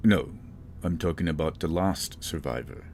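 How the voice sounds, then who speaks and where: With clear background noise behind him, a man puts on a character voice at a moderate pace, his pitch very deep and low. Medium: actual play. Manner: calm, measured.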